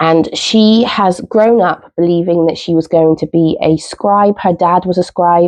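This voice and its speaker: A woman in a southern English accent, fairly slow and fairly even in intonation. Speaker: book vlogger. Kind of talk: casual vlog chat. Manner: hesitant, many fillers.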